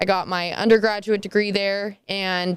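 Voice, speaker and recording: This woman speaks at a moderate pace with a medium pitch and fairly even intonation. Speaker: college softball player. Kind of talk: interview. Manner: loud when passionate.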